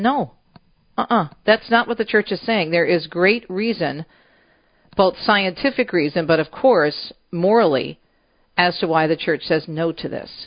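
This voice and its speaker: This woman talks at a moderate pace in a fairly low pitch, her intonation lively. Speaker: radio host. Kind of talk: radio talk show host interview and news reading. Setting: radio studio. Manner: animated.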